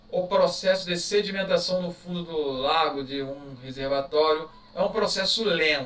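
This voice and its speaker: Fairly slow speech with ordinary pitch variation, audible room echo and noticeable background noise. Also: man. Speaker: teacher. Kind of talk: exam review lecture. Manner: casual, conversational.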